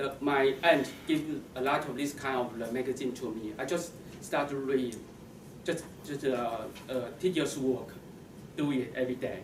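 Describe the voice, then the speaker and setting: A man with a Chinese accent at medium pitch, moderate pace and fairly even intonation, with long, frequent pauses, noticeable background noise and audible room echo. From Taiwan. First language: Mandarin Chinese. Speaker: computer science professional, club speaker. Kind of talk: prepared speech. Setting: stage with audience. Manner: halting, many false starts.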